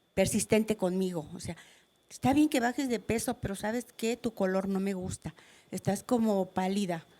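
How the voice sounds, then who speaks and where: A woman speaks in a dark, mellow tone, her pitch varying in an ordinary way. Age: 60s. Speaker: cancer patient in studio audience. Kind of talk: testimony.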